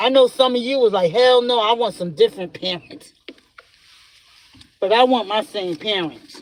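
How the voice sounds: Here a man talks with an American accent. His voice is high-pitched with ordinary pitch variation. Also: moderate pace.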